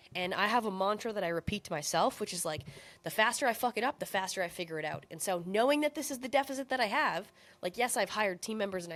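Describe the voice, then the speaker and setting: A woman speaks very fast at a medium pitch, her intonation lively. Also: very clean recording, silent background. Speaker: business coach / entrepreneur YouTuber. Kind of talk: casual monologue to camera. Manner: casual, filler-heavy.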